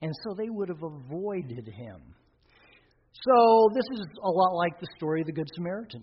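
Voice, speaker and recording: A man with a high voice speaks at a moderate pace, his intonation lively and his loudness swinging widely. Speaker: pastor. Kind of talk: sermon.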